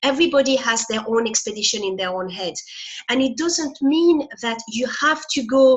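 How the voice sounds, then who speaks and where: This woman speaks at a moderate pace with a French accent, her pitch swinging very widely. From France. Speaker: motivational speaker. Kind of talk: interview.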